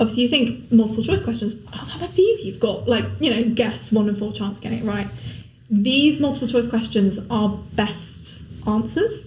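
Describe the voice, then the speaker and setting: A woman talks at a fairly quick pace with big swings in loudness, amid noticeable background noise and audible room echo. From Somerset, England. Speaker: law apprentice. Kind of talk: podcast interview.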